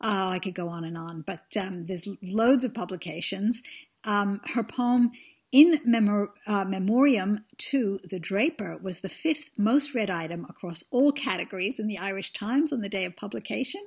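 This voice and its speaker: A woman with a medium pitch and a somewhat breathy voice talks at a moderate pace with lively intonation, on a very clean recording with a silent background. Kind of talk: interview.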